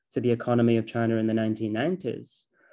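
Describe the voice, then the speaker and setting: The man speaks with a Mancunian accent. His voice sits at medium pitch with a dark, mellow tone. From Manchester, England. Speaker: postgraduate researcher on China, former news journalist. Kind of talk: interview. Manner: hesitant, many fillers.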